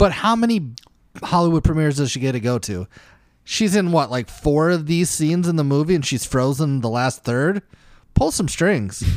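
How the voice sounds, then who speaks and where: A plain, everyday voice from a man, fairly high in pitch, with lively intonation at a moderate pace. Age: 30s. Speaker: podcast co-host. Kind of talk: casual chat.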